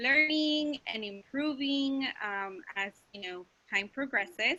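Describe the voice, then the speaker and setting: A woman with a Spanish accent speaks at a very slow pace. Her tone is bright and sharp. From Mexico. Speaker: school counselor. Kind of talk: class presentation.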